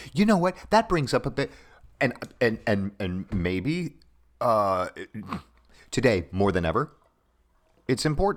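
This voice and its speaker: With long, frequent pauses, a man speaks fairly slowly at a medium pitch, his pitch swinging very widely. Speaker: actor and voiceover artist. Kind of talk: casual chat.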